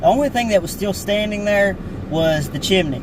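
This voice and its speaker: A man with an Appalachian accent talks at a fairly quick pace, with audible room echo and noticeable background noise. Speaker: small YouTuber, outdoor explorer. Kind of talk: casual vlog talk. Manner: halting, many fillers.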